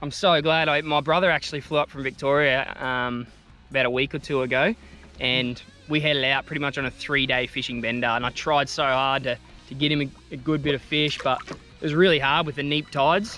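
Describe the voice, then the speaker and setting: Music plays in the background as a man speaks at a fairly quick pace with fairly even intonation, the sound dry with no echo. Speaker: fishing vlogger. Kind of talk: casual vlog chat. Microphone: phone near.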